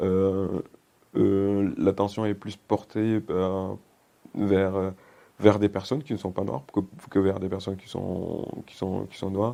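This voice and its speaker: With a dark, mellow tone and fairly low pitch, a man speaks at a very slow pace with fairly even intonation, long, frequent pauses and big swings in loudness. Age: 30s. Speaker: digital transformation consultant. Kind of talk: interview. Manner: halting, repetitive.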